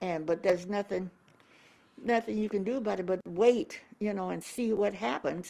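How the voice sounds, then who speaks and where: A woman speaks at a moderate pace with a medium pitch and ordinary pitch variation. Her tone is dark and mellow. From US Midwest, Omaha, Nebraska. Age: 80s+. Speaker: civil rights activist. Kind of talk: interview. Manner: halting.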